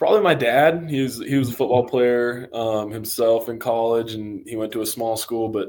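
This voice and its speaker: An American accent at a moderate pace, with hardly any pauses and fairly even intonation. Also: man, medium pitch for a man. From US Northwest, Coeur d'Alene, Idaho. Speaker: college football player, draft prospect. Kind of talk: podcast interview. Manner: casual, with many fillers and hesitations.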